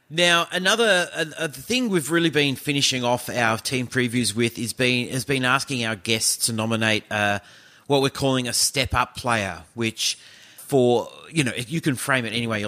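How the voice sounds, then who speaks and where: Using an Australian accent, a man talks at a moderate pace in a medium pitch. His tone is bright and sharp, with lively intonation. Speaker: sports podcast host. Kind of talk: casual chat.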